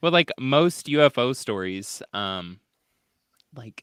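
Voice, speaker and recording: In a very clean recording with a silent background, a man with a Midwestern accent talks at a very slow pace, his medium pitch moving through very wide swings. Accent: Midwest accent (self-described). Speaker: podcast host. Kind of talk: casual chat. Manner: filler-heavy, hesitant.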